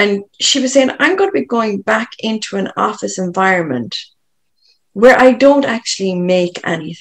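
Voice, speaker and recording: With an Irish accent, a woman speaks at a moderate pace and a medium pitch, her intonation lively. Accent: Irish, lilting. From Ireland. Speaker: coach working with people. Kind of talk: podcast interview conversation.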